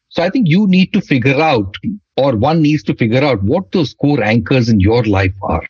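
The man's voice is somewhat breathy, with very wide pitch swings. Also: medium pitch for a man, moderate pace, very even loudness. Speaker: startup executive and author. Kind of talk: interview.

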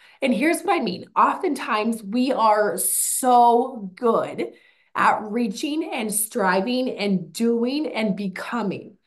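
Intonation is lively from a woman with a fairly high pitch. She speaks at a very slow pace. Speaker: podcast host / mental coach. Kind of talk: motivational talk. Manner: animated.

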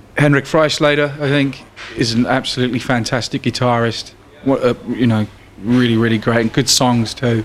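A man's medium-pitched voice at a moderate pace, with fairly even intonation, very even loudness and noticeable background noise. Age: 30s. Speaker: blues guitarist and bandleader. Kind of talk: casual interview.

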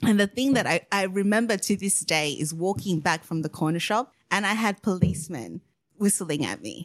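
A woman speaks at a moderate pace and medium pitch with lively intonation and vocal fry. The recording is very clean, with a silent background and a dry, close sound with no echo. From Australia.

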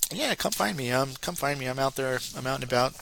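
With a Northeastern American accent, a man talks fast in an animated, fairly bright tone touched with vocal fry. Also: medium pitch for a man, lively intonation.

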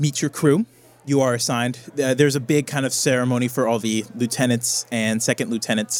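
A passage is read aloud in a natural voice.

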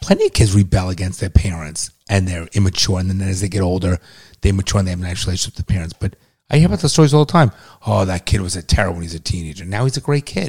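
Very fast and somewhat breathy, a man talks in a very deep, low voice with a dry, close sound and no echo. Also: ordinary pitch variation. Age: 50s. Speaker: podcast host, father of co-host. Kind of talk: casual banter and opinion talk.

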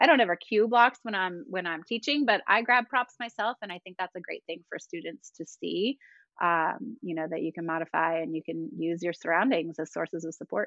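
A normal speaking voice from a woman, medium pitch, lively intonation and a fairly quick pace. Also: big swings in loudness. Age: 40s. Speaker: yoga studio owner and instructor. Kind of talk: casual chat.

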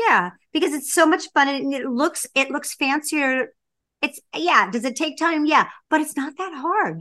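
A woman's high-pitched, raised and projected voice with a bright, sharp tone. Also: fairly slow pace. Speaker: podcast co-host. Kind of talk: casual chat. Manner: animated.

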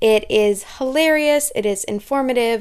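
Using a plain, everyday voice, a woman talks at a fairly slow pace with ordinary pitch variation. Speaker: podcast host. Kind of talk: scripted narration.

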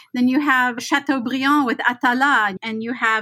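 Here a woman with an American accent has a bright, sharp tone. Her high pitch shows ordinary variation. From Los Angeles, California. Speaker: professor. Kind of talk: casual chat.

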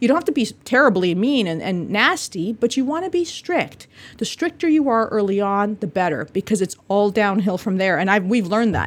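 A woman at a fairly quick pace, with hardly any pauses and very wide pitch swings. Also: medium pitch for a woman. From Bolivia. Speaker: eye doctor. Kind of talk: educational podcast monologue.

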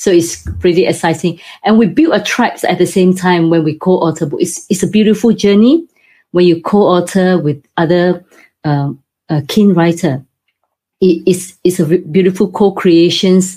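The voice has a dark, mellow tone, somewhat breathy, with very even loudness, fairly even intonation and a moderate pace. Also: woman, fairly low pitch for a woman. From Singapore. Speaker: property developer and co-author publisher. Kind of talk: interview.

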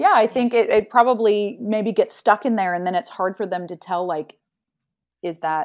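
On a very clean recording with a silent background, a woman with an American accent and an ordinary speaking voice talks in a medium pitch with ordinary pitch variation. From Utah, US. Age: 40s. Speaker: cancer survivor and resilience speaker. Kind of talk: interview testimony.

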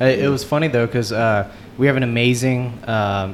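A man speaks with a Texan accent. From Houston, Texas. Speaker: seasoning company founder. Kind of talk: casual chat. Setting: office bar at a company party.

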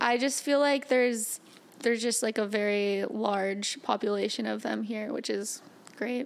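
Moderate pace from a woman with a fairly high pitch. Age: 20s. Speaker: podcast co-host. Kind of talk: casual chat. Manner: animated, frequent laughter.

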